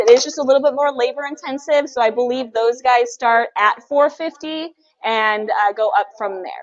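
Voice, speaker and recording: An American woman speaks in an animated tone with lively intonation and an American accent. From California. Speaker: livestream co-host for a mask company. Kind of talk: casual live stream chat. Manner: fast.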